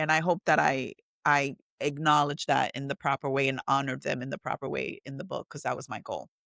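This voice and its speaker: Animated in tone, a woman talks at a fairly quick pace with a Puerto Rican accent, the sound dry and close with no echo. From Puerto Rico. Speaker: author and entrepreneur. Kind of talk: casual interview chat.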